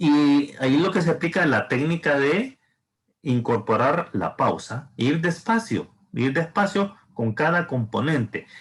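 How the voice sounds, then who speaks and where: Speaking at a fairly slow pace, a man with a fairly high pitch sounds somewhat breathy, with lively intonation and very even loudness. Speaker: thesis advisor. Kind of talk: advising session. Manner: slow and deliberate.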